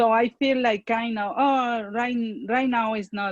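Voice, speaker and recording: A woman with a Spanish accent speaks fairly slowly at a fairly high pitch, in a dry, close recording with no echo. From Mexico. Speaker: parent and church leader. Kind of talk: online community discussion. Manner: halting.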